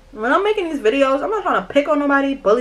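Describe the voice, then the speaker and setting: A woman with a New York accent talks in an animated tone, her voice raised and projected over noticeable background noise. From New York, Brooklyn. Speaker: YouTuber. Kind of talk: storytime vlog while doing makeup. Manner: aggressive-sounding.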